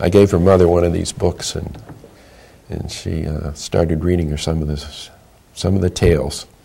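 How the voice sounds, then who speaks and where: A man speaks in a very deep, low voice at a moderate pace, with fairly even intonation. He leaves long, frequent pauses, and there is noticeable background noise. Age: 80s+. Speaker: memoir writing teacher. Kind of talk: interview. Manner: halting.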